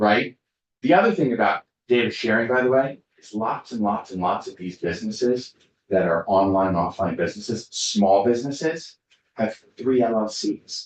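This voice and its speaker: A man talks in a plain, everyday voice with ordinary pitch variation. His pace is moderate. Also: medium pitch for a man. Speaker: lawyer testifying as witness. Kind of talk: committee testimony. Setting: legislative committee hearing.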